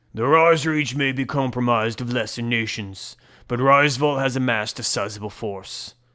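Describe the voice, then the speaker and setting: A man puts on a gruff character voice at a medium pitch. The recording is very clean and the background silent. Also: moderate pace. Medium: read story. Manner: gruff, blunt.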